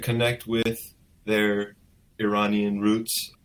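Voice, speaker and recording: A man speaks at a very slow pace with a Californian accent. His pitch sits in the medium range. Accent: General American, California. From Los Angeles, San Fernando Valley. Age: 30s. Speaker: novelist. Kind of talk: interview. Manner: halting with many repeats.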